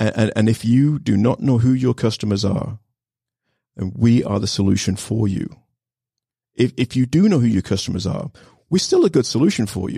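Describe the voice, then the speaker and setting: Long, frequent pauses break up speech delivered at a moderate pace. The voice is somewhat breathy, with ordinary pitch variation. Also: man, medium pitch for a man. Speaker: startup founder. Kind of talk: casual interview. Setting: studio.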